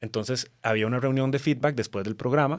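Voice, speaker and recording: The speech moves at a fairly quick pace with ordinary pitch variation, on a very clean recording with a silent background. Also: man. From Costa Rica. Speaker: TV journalist. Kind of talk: casual chat.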